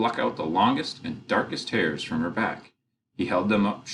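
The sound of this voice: Against a quiet background, the speaker uses an unforced reading voice.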